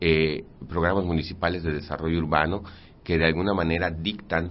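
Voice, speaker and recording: Audible room echo surrounds a man speaking fairly quickly in a very deep, low pitch. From Mérida, Yucatán, Mexico. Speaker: architect and city urban development director. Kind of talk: radio interview. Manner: halting, many repeated words.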